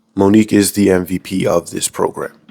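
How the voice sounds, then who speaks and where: A fairly low-pitched man talks while music plays behind him. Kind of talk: casual episode recap commentary. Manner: comedic, conversational.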